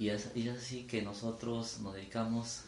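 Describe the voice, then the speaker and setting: Noticeable background noise and audible room echo fill this recording. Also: man. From Peru, Ayacucho region. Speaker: engineer and food entrepreneur. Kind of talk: interview. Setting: his home. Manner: formal.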